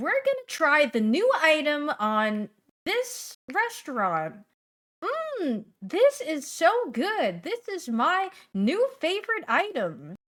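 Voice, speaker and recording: A woman uses a put-on character voice with a high pitch. Her pitch swings very widely, and her pace is fairly slow. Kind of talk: social media video. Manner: gushing, overenthusiastic.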